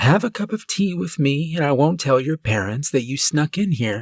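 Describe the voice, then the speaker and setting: Using a put-on character voice, a man talks at a moderate pace in a fairly high pitch on a very clean recording with a silent background. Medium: read story.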